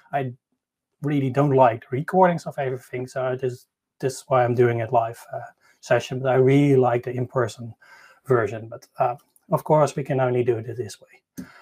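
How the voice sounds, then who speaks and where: A man's dark, mellow, somewhat breathy voice at medium pitch, moderate in pace, fairly even in intonation, with big swings in loudness. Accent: Dutch. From Netherlands. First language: Dutch. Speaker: tech conference speaker. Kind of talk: conference talk. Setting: online live session. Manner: halting; shaky voice.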